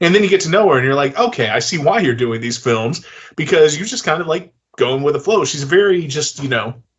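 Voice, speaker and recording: With an American accent, a man speaks at a very fast pace in a fairly high pitch. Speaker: film director and interview host. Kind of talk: casual interview chat. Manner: hesitant, filler-heavy.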